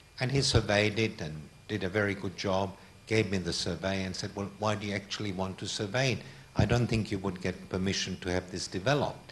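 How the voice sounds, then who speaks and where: A man with a Hungarian accent, somewhat breathy, with fairly even intonation at a fairly quick pace. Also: fairly low pitch for a man. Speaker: art collector. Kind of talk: public talk.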